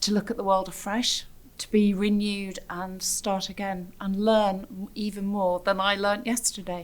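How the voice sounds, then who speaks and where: With a British accent, a woman talks at a moderate pace in a monotone, flat intonation. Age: 60s. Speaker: theatre producer. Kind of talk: personal testimony. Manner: reflective, with frequent hesitations.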